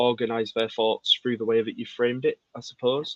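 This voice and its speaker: A man speaks with a Yorkshire accent. His pace is fairly quick. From Yorkshire, England. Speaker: poet. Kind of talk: casual interview chat.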